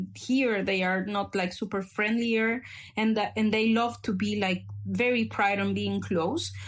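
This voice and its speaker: A somewhat breathy woman's voice at a moderate pace, on a very clean recording with a silent background. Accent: Spanish. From El Salvador. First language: Spanish. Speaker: activist. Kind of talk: podcast conversation. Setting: podcast recording. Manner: halting with many fillers.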